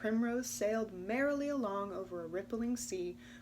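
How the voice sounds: Simply a natural reading voice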